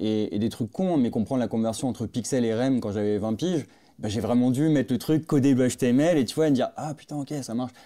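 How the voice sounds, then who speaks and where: A man's dark, mellow voice at medium pitch, fairly quick with ordinary pitch variation, on a very clean recording with a silent background. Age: 30s. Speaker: product designer. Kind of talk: interview.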